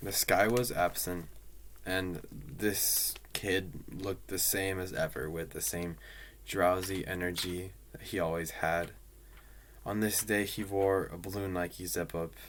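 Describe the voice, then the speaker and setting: This man has a very deep, low voice with ordinary pitch variation, talking at a fairly slow pace with long, frequent pauses. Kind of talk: personal story narration. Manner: soft-spoken, low-key.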